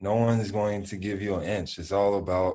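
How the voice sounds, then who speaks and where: A man with a Memphis accent speaks at a moderate pace against a quiet background. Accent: Southern US (Memphis). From US South, Memphis. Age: 20s. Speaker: basketball player. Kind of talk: interview.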